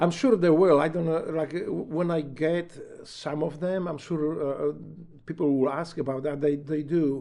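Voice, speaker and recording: Speaking with a Polish accent, a man has a fairly high pitch and a dark, mellow tone. His pace is moderate and his intonation fairly even. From Poland. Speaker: retired Navy SEAL and author. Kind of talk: casual interview. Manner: halting.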